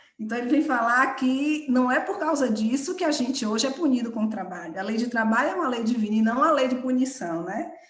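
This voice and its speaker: Delivered at a fairly quick pace, the speech carries audible room echo. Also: woman. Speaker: study group leader. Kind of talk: lecture. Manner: fast.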